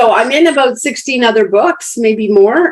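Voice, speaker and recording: Her pitch fairly high and swinging very widely, a woman speaks at a fairly slow pace. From Croatia. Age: 60s. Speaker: author and life coach. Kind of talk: interview. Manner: animated.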